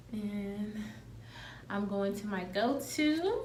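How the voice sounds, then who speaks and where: Soft-spoken and very slow, a woman speaks with lively intonation. Noticeable background noise and audible room echo surround her voice. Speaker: beauty vlogger. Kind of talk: tutorial.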